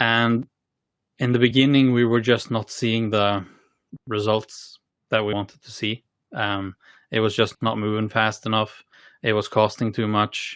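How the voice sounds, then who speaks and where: A man with a Norwegian accent speaks fairly low in a monotone, flat way, with long, frequent pauses. The sound is dry and close with no echo, in a very clean recording with a silent background. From Norway. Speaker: tech company co-founder and CTO. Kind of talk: podcast interview. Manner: halting, many fillers and repeated words.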